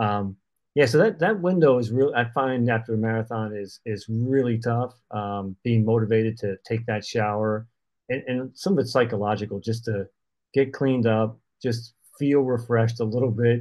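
This man has an ordinary speaking voice at a medium pitch. He talks at a moderate pace with ordinary pitch variation. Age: 60s. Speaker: runner and podcast co-host. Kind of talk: casual chat. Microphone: connection issues.

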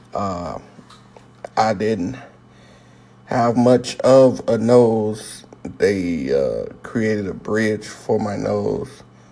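A man speaks very slowly at a fairly low pitch, with long, frequent pauses and ordinary pitch variation. Background noise is noticeable. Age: 30s. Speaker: podcaster. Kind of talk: personal monologue.

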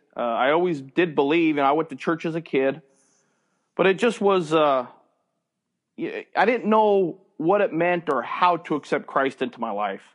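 A man with an American accent speaks at a moderate pace in an ordinary speaking voice, fairly high-pitched with lively intonation. The background is quiet. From US, small town. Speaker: baseball umpire. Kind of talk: interview, faith testimony.

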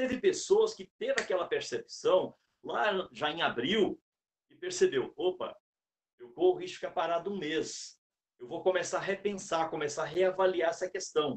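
Moving at a moderate pace, a man's voice shows big swings in loudness. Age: 60s. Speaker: sales speaker and consultant. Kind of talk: talk within a live interview. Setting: live stream.

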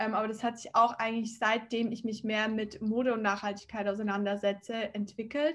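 Barely pausing, a woman talks at a fairly quick pace in a fairly high pitch with monotone, flat intonation. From Switzerland, near Zurich. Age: 20s. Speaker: fashion startup founder. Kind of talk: interview.

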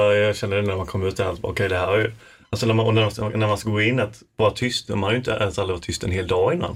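A man's somewhat breathy, fairly low voice at a very fast pace with fairly even intonation, on a very clean recording with a silent background. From Falkenberg, Halland, Sweden. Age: 20s. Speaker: university student and podcaster. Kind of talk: casual chat. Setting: studio.

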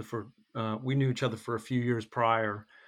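Speaking at a moderate pace and medium pitch, the man has a plain, everyday voice. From North Carolina (Hickory), moved from Michigan as a kid. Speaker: podcast guest, fitness group member. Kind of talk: casual interview.

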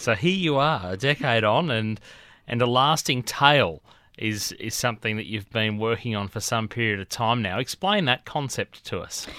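A man speaks with an Australian accent and lively intonation. His tone is bright and sharp. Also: medium pitch for a man, moderate pace, very clean recording, silent background. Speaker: radio host. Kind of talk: interview. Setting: studio.

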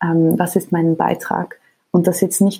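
With vocal fry and a dark, mellow tone, a woman speaks at a moderate pace in a fairly low pitch. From Switzerland, Geneva. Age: 20s. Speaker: nonprofit co-founder and CEO. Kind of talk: casual interview. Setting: home office remote recording.

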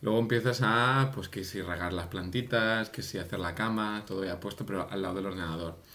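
A man talks at a fairly quick pace with hardly any pauses, in a fairly low pitch with ordinary pitch variation. His tone is bright and sharp, and the room echo is audible. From Catalonia, Spain. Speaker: podcast co-host, improv performer. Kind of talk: improvised comedy chat.

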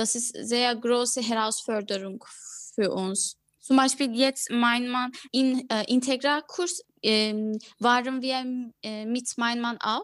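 Speaking with a Turkish accent, a woman talks at a very slow pace. Her pitch is high and her intonation fairly even. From Turkey (Ankara). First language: Turkish (speaking German). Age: 20s. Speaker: former lawyer, new mother. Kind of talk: interview. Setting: video call. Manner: halting, many fillers.

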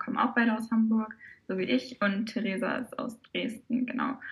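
A woman talks at a moderate pace in a fairly high, somewhat breathy voice, her intonation fairly even. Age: 20s. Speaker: brass choir member and social media volunteer. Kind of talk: podcast interview.

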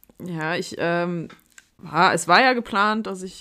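The tone is bright and sharp, with ordinary pitch variation. The recording is very clean, with a silent background. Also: woman. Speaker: podcast co-host. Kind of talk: casual chat.

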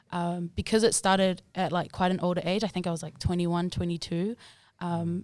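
A woman speaks with a New Zealand accent. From New Zealand, Auckland. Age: 20s. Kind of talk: casual chat.

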